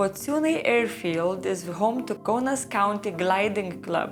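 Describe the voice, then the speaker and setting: Music behind a fairly slow delivery full of lively intonation. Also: woman. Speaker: travel vlogger. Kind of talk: travel guide narration.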